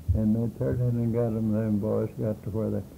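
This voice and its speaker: A man with an American accent speaks at a fairly slow pace. His voice is fairly low with a dark, mellow tone. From Kansas and Oklahoma. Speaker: early day cowboy. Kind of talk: oral history interview. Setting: at home.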